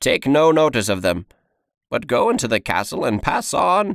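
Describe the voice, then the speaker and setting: In a very clean recording with a silent background, a man uses a put-on character voice at a fairly high pitch and a moderate pace. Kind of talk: audiobook reading.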